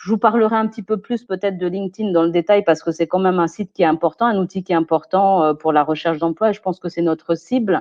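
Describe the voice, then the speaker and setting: A woman with a medium-pitched voice talks at a very fast pace with hardly any pauses. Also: ordinary pitch variation. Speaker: personal development expert. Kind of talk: webinar talk. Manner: hesitant, many fillers.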